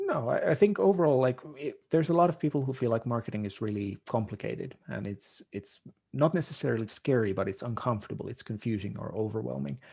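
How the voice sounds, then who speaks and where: Speaking with a non-native accent, a man talks at a very fast pace with hardly any pauses and lively intonation. His tone is dark, mellow and somewhat breathy, over a quiet background. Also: medium pitch for a man. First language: not English. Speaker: marketing consultant. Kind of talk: podcast interview.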